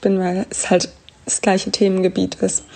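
A woman talks at a fairly slow pace in a medium pitch. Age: 20s. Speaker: podcast co-host, actress. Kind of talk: casual chat.

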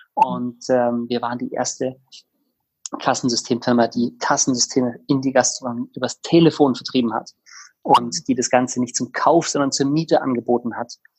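This man has a normal speaking voice and a moderate pace. His intonation stays fairly even. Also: medium pitch for a man. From Bavaria, Tegernsee near Munich. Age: 30s. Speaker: startup co-founder. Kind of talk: interview.

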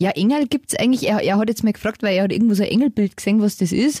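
A woman at a medium pitch, somewhat breathy with a dark, mellow tone, very fast, in a dry, close sound with no echo. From Lower Bavaria, Germany. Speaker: podcast co-host, mother. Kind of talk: casual chat. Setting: studio.

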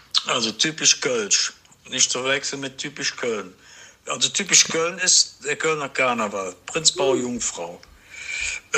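Noticeable background noise sits behind the recording. A man speaks at a very slow pace. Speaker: host's father. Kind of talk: recorded voice message. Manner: spontaneous, searching for words.

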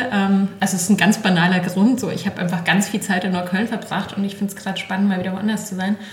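Room echo is audible as a woman talks amid noticeable background noise. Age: 40s. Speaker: podcast host, cookbook author. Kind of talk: casual interview chat. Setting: home kitchen.

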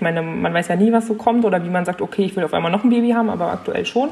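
Noticeable background noise accompanies a woman speaking at a medium pitch with ordinary pitch variation. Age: 20s. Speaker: young mother. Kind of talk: casual chat.

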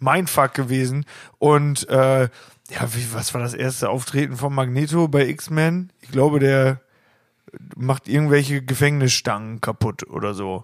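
A man's medium-pitched, plain, everyday voice, with big swings in loudness, a fairly slow pace and fairly even intonation. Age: 20s. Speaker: band member and podcast co-host. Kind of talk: casual chat.

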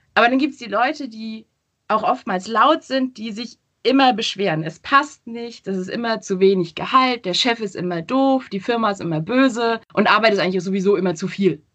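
A woman with an unremarkable speaking voice, fairly high in pitch, talks at a moderate pace with lively intonation and big swings in loudness. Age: 20s. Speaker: social media professional. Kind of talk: interview. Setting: video call. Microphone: poor sound quality via video call.

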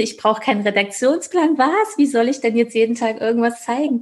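A woman talks at a fairly quick pace in a somewhat breathy voice. Her pitch moves in an ordinary way. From Thuringia, Germany. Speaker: business coach. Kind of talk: casual interview chat.

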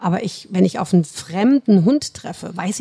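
This voice has a dark, mellow tone that is somewhat breathy, with ordinary pitch variation at a moderate pace. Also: woman. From Rhineland, Germany (between Cologne and Düsseldorf). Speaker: dog trainer and animal psychologist. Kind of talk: casual interview.

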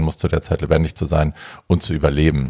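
Very deep and low in pitch, a man talks at a fairly quick pace. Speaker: podcast host and drag queen. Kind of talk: casual chat.

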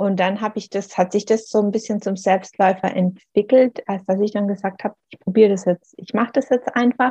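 A somewhat breathy voice with a dark, mellow tone and fairly even intonation comes through dry and close, with no echo. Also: woman, medium pitch for a woman, fairly quick pace. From Swabian Jura, southern Germany. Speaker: author. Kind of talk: interview.

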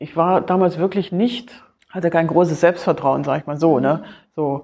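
A woman's fairly low pitch carries a dark, mellow tone as she speaks at a moderate pace. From East Germany (Berlin). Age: 50s. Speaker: former footballer and football official. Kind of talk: interview. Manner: halting, many fillers and repetitions.

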